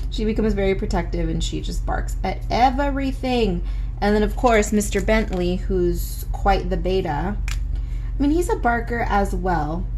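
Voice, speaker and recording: Over noticeable background noise, a woman with an American accent talks with hardly any pauses. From Southern California. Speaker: illustrator and art YouTuber. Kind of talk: casual art tutorial chat. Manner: fast talker; frequent filler words.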